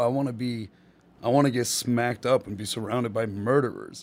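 The man's voice sits at a medium pitch. His intonation is fairly even. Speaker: comedian. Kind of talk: casual chat.

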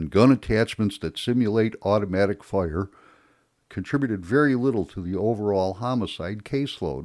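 A man with an American accent talks at a moderate pace, his pitch fairly low with ordinary variation. The recording is very clean, the background silent. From Chicago, US. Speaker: podcast host. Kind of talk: rant.

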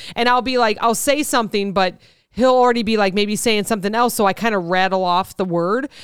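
On a very clean recording with a silent background, a woman with a Midwestern accent speaks at a fairly quick pace, fairly high in pitch, with ordinary pitch variation. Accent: Midwest American. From US Midwest. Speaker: podcast host. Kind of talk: casual chat.

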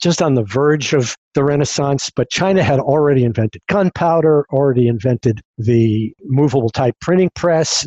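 A man's medium-pitched voice with a dark, mellow tone, at a moderate pace, in a dry, close sound with no echo. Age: 60s. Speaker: futurist and podcast host. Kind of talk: casual interview.

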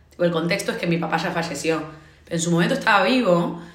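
A woman speaks with a fairly low pitch and audible room echo. Noticeable background noise sits behind her. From Argentina. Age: 20s. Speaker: consultant. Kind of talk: casual chat.

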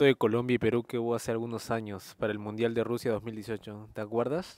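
On a very clean recording with a silent background and a dry, close sound with no echo, a man talks at a very fast pace. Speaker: podcast host. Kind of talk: casual chat.

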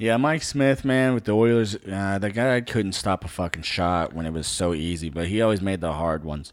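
A man with a normal speaking voice talks at a fairly quick pace, his fairly low pitch carried by lively intonation with hardly any pauses. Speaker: sports podcast host. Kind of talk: casual sports banter.

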